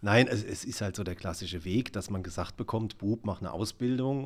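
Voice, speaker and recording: On a very clean recording with a silent background, a man speaks in a plain, everyday voice at a moderate pace with ordinary pitch variation. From southern Palatinate, Germany. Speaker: video artist and musician. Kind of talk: interview.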